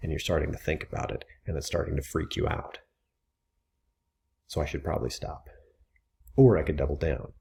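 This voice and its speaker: A man with a dark, mellow tone uses very wide pitch swings and vocal fry. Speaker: writing teacher. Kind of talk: educational lecture to camera. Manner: casual, conversational.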